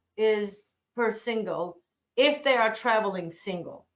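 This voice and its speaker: A woman's voice with a Turkish accent and ordinary pitch variation. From Turkey, Ankara. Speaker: cruise line sales representative. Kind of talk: webinar presentation Q&A. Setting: online webinar.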